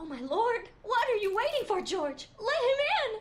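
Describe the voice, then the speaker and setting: The voice is a squeaky, put-on character voice. Its pitch swings very widely. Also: woman, extremely high pitch for a woman, moderate pace. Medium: video game. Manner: fearful, weary.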